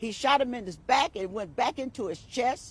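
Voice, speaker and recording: With lively intonation and a moderate pace, a woman speaks in a dry, close sound with no echo. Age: 60s. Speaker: bereaved mother and activist. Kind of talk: press conference testimony. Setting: press conference. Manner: halting; impassioned.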